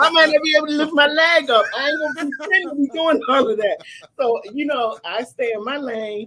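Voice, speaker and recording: Her voice is raised and projected, high-pitched, with a bright, sharp tone. The woman speaks at a fairly quick pace with lively intonation and an animated tone. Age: 50s. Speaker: online talk show host. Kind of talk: casual chat. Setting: live stream.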